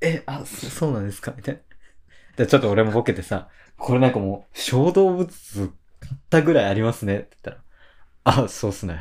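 A man speaks at a fairly quick pace, his pitch swinging very widely and his loudness rising and falling sharply, with long, frequent pauses. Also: medium pitch for a man. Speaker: freelance writer, podcast co-host. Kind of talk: casual chat. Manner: boisterous, laughing a lot.

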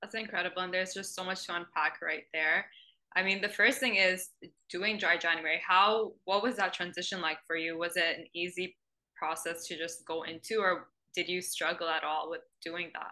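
At a moderate pace, a woman talks in a fairly low pitch with a bright, sharp tone and fairly even intonation over a quiet background. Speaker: podcast host. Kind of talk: casual interview.

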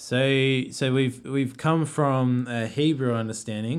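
A man speaks with an Australian accent at a medium pitch. His pace is fairly slow and his intonation fairly even. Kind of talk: casual chat about theology. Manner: halting.

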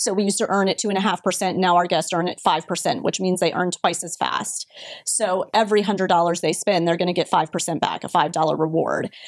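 At a moderate pace, a woman with a medium-pitched voice and a Florida accent speaks with fairly even intonation. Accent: American, Florida. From Florida (Brandon, near Tampa). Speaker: retail marketing executive. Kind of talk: interview.

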